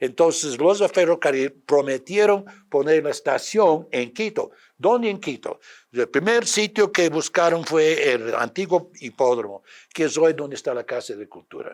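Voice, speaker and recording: In an English accent, a man speaks at a fairly slow pace and a high pitch. The recording is very clean, with a silent background. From United States. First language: English (speaking Spanish). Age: 80s+. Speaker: retired history professor. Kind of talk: interview. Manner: halting, many fillers and repetitions.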